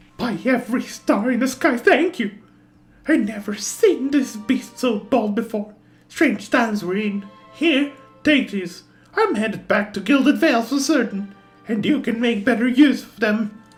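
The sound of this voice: A squeaky, put-on character voice with fairly high pitch moves at a moderate pace over faint music in the background.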